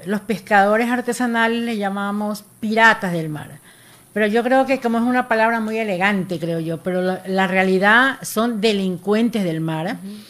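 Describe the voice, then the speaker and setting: An unremarkable speaking voice at a moderate pace, with ordinary pitch variation and big swings in loudness. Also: woman, medium pitch for a woman. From Ecuador, Guayas coast (General Villamil Playas). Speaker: artisanal fishing federation leader. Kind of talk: radio interview.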